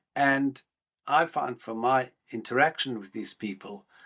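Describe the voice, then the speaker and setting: This is a man talking. He has a South African accent. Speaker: rabbi. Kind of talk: podcast interview.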